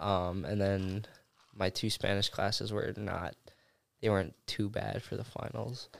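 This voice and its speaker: Speaking at a fairly slow pace, a man with a Wisconsin accent has a fairly low pitch. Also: fairly even intonation. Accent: Upper Midwest (Wisconsin) American. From Oshkosh, Wisconsin. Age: 19. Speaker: college student. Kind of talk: casual chat.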